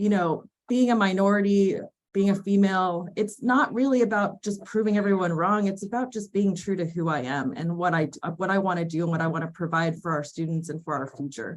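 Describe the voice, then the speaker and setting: A plain, everyday voice with an American accent, a fairly quick pace and ordinary pitch variation. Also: woman, medium pitch for a woman. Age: 40s. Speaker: athletic director. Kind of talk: webinar panel discussion.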